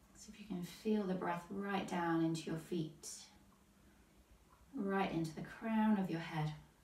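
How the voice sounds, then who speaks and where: A woman speaks at a fairly low pitch with fairly even intonation and long, frequent pauses. There is audible room echo along with noticeable background noise. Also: fairly slow pace, big swings in loudness. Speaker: yoga teacher. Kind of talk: guided yoga class. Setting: livestream class. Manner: calm, slow.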